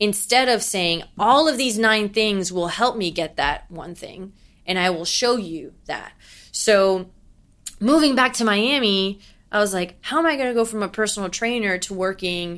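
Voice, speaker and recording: A woman speaks in an ordinary speaking voice, medium in pitch, with lively intonation at a moderate pace. The recording is very clean, with a silent background. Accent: American. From New York. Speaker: young professional and former runner. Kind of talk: interview.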